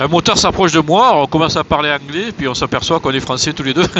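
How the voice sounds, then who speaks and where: The man's fairly high voice shows ordinary pitch variation against noticeable background noise. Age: 60s. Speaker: motorcycle traveller vlogger. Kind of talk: travel vlog. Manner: hesitant, many filler sounds.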